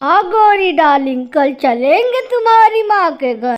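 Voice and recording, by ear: A woman's cartoonish character voice, extremely high in pitch with very wide pitch swings, at a fairly slow pace.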